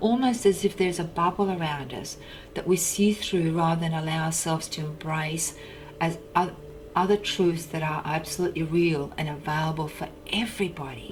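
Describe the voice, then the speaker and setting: A moderate pace and ordinary pitch variation over noticeable background noise. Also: woman, fairly low pitch for a woman. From China, Russian community near Mongolian border. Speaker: personal development coach. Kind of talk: personal monologue.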